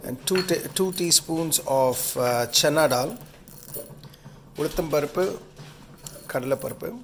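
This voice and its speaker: Noticeable background noise sits behind a man with a Tamil accent who talks at a very slow pace with ordinary pitch variation. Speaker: home cook video host. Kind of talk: cooking tutorial. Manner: halting, many fillers; casual.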